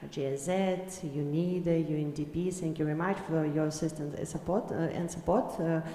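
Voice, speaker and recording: With a Ukrainian accent and a fairly low pitch, a woman speaks with fairly even intonation amid noticeable background noise and audible room echo. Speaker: government agency official. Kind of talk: panel discussion. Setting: conference panel. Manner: halting, many fillers.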